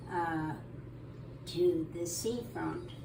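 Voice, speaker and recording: A woman talking at a very slow pace amid noticeable background noise and audible room echo. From southern England, Eastbourne. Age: 90s. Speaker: interviewee. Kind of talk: life story interview.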